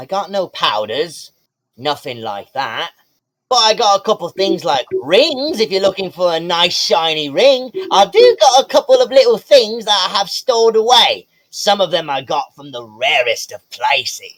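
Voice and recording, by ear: A man's put-on character voice, high-pitched and fairly bright, at a fairly slow pace with big pitch swings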